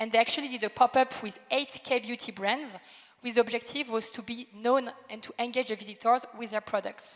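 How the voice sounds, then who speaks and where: Speaking fairly quickly in a French accent, a woman with a high pitch keeps a monotone, flat intonation while her loudness swings widely. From France. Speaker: retail media executive. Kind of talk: panel debate. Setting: stage with audience.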